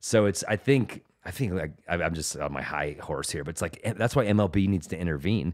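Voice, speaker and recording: A man with an American accent, fairly quick and lively in intonation, on a very clean recording with a silent background. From US West, Denver, Colorado. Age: 40s. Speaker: stand-up comedian. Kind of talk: casual chat. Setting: studio.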